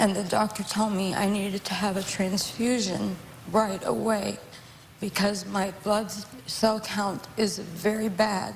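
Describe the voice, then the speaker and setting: A woman speaks slowly-ish, at a fairly slow pace, with a medium pitch and monotone, flat intonation. Noticeable background noise runs under her voice. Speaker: talk show guest. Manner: slurred speech, sounds sedated.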